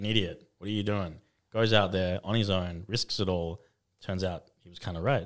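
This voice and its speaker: On a very clean, silent recording, a man with an Australian accent and a fairly low pitch speaks at a moderate pace, his intonation fairly even but his loudness swinging widely. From Western Australia, Fremantle. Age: 30s. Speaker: photographer and filmmaker. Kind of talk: casual chat. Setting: studio.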